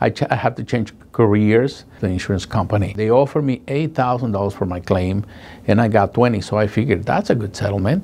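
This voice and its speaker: With a Spanish accent, a man talks at a medium pitch with ordinary pitch variation. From Guatemala. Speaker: paralegal. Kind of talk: testimonial. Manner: halting, emotional. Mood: earnest, recalling painful experience. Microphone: lapel.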